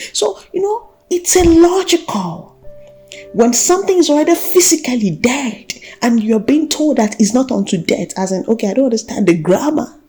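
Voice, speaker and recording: Very wide pitch swings at a moderate pace, with music in the background. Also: woman, high pitch for a woman. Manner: earnest, exhortational.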